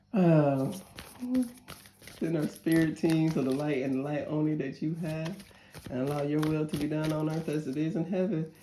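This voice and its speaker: Speaking in an American accent, a woman with a very deep, low pitch keeps a moderate pace, leaving long, frequent pauses amid audible room echo. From northern US. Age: 40s. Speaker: tarot reader. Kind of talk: tarot reading with casual asides. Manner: animated, emotional.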